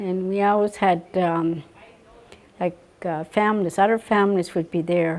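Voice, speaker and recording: Speaking with a Maritime Canadian accent, a woman of medium pitch talks at a fairly slow pace with fairly even intonation. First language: Mi'kmaq. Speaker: residential school survivor. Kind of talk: interview testimony. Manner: halting, many fillers.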